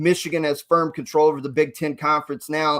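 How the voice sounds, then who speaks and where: On a very clean recording with a silent background, a man with an unremarkable speaking voice talks at a moderate pace in a fairly high pitch. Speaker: college basketball podcast host. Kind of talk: casual sports podcast chat.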